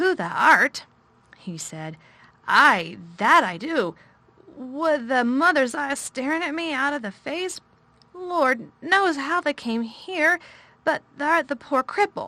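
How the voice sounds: In a put-on character voice, the speaker sounds high-pitched, shaky and raised, projecting at a fairly slow pace.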